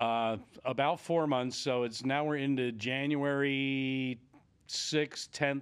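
The speaker is a man at a medium pitch. His intonation is fairly even. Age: 60s. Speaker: entrepreneur and author. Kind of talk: interview. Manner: halting.

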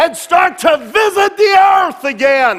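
A man shouting at a very slow pace over crowd noise in the background. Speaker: preacher. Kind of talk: sermon. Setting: church with congregation. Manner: emphatic, fervent, urgent preaching; exhorting, altar-call style.

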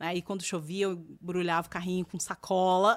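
Energetic tone from a woman at a medium pitch. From Brazil, Campinas (interior of São Paulo state). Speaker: journalist and communication strategist, former TV presenter. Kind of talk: podcast interview conversation.

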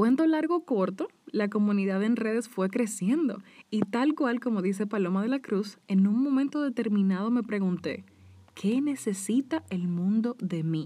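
In a Dominican accent, a woman speaks at a fairly slow pace with lively intonation. Her tone is dark and mellow and somewhat breathy. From Dominican Republic. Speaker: podcast host; hair stylist. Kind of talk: personal monologue.

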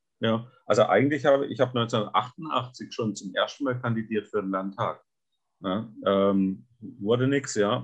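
A man's medium-pitched voice, fairly slow, with fairly even intonation. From southern Baden, Germany. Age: 60s. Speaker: state politician. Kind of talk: podcast interview. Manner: halting, with many fillers.

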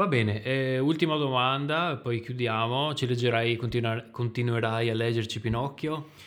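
In a strong Venetian accent, a medium-pitched man speaks with very even loudness, fairly even intonation and hardly any pauses. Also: moderate pace. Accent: strong Veneto. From Veneto, Italy. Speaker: podcast host. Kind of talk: casual chat.

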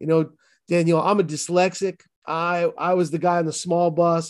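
Speaking at a moderate pace with a monotone, flat intonation, a man with a high pitch and an American accent is heard over a quiet background. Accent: Boston accent, toned down. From Boston, US. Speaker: pastor and author. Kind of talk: testimony interview.

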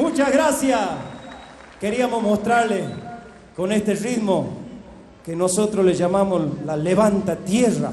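A man with a high voice speaks at a very slow pace, with ordinary pitch variation and long, frequent pauses. Room echo is audible, and background noise is noticeable. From Chaco Salteño, northern Argentina. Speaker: folk singer. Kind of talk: live stage announcement.

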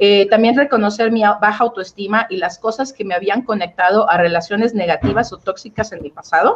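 A woman talks at a fairly quick pace with hardly any pauses. Hers is an ordinary speaking voice at medium pitch with ordinary pitch variation. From Mexico, Oaxaca. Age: 30s. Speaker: relationship coach. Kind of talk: interview.

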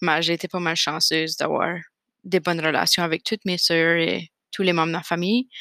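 Recorded very cleanly against a silent background, a woman's fairly low voice has a bright, sharp tone and fairly even intonation, with a dry, close sound and no echo. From Acadian New Brunswick, Canada (Fredericton). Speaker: podcast host, graduate student. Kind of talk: casual solo monologue. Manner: hesitant, many fillers.

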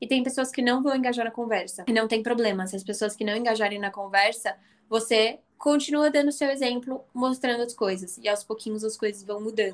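A woman's plain, everyday voice, fairly high in pitch, fairly quick, with ordinary pitch variation. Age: 20s. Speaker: business student and founder of a women's investing channel. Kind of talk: casual interview.

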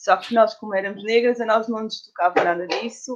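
In a normal speaking voice, a woman talks at a moderate pace and a fairly high pitch, with ordinary pitch variation. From Portugal, Lisbon area. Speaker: doula. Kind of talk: casual interview.

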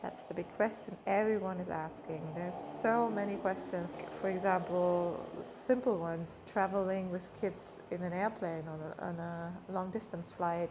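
Over noticeable background noise and audible room echo, a woman with a fairly low pitch talks at a moderate pace with fairly even intonation and hardly any pauses. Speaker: social media coach and vlogger. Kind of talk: casual vlog monologue. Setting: hotel room.

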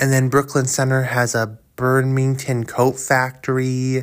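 Someone with an American accent speaks at a very slow pace on a very clean recording with a silent background. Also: man. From Minnesota, US. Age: 20s. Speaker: podcaster. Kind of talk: solo monologue podcast. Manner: halting, repetitive.

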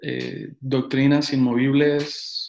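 This man speaks at a very slow pace in a central Mexican accent, his fairly high voice delivered in a flat monotone. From Mexico City and Tehuacán, Puebla, Mexico. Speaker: pastor. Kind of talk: casual interview.

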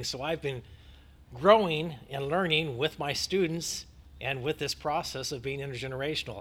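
A man with an American accent and an ordinary speaking voice, fairly high in pitch with ordinary pitch variation. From United States. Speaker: youth ministry leader and adjunct professor. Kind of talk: interview.

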